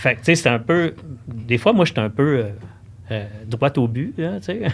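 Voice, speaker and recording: Speaking fairly slowly, a man uses a medium pitch and lively intonation. His voice is somewhat breathy. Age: 60s. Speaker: cross-country ski expert at a sports shop. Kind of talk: casual podcast interview.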